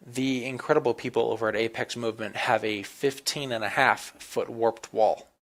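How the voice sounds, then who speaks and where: In a very clean recording with a silent background, a man uses a plain, everyday voice at a moderate pace, with fairly even intonation and hardly any pauses. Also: medium pitch for a man. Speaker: student and obstacle course athlete. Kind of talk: entry video narration.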